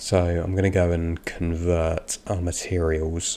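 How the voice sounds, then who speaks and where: In an English accent, a man speaks very slowly at a very deep, low pitch, his dark, mellow tone delivered in a monotone, flat intonation. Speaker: gaming streamer. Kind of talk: live gameplay stream commentary. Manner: casual, hesitant with fillers.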